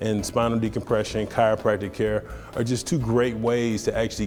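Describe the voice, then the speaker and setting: With music in the background, a man with a fairly low voice speaks at a fairly quick pace in a monotone, flat intonation. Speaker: former professional football player giving testimonial. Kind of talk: testimonial interview answer.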